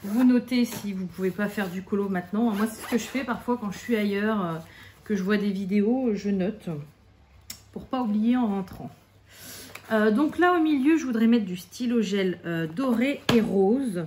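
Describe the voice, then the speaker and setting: Over noticeable background noise, a woman with a fairly high pitch and ordinary pitch variation speaks at a fairly slow pace. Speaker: craft YouTuber. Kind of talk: casual tutorial while colouring. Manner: relaxed, hesitant with fillers.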